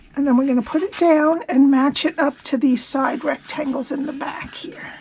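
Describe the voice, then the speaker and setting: Over noticeable background noise, a woman speaks in a high voice with fairly even intonation. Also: moderate pace. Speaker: paper craft demonstrator. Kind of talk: tutorial. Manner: casual, conversational.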